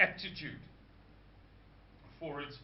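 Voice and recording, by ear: A man speaks at a fairly slow pace. Audible room echo surrounds his voice.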